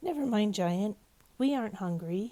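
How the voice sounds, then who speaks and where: A put-on character voice, female-sounding, at a medium pitch. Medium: read story.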